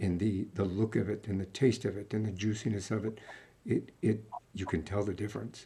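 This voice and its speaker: A man speaks fairly quickly in a fairly low, somewhat breathy voice with a dark, mellow tone. His intonation stays monotone and flat. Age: 60s. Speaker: podcast host. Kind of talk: casual interview chat.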